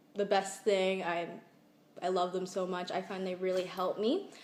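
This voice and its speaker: The woman speaks at a medium pitch in a monotone, flat intonation. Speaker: student sharing learning challenges. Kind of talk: personal testimony to camera.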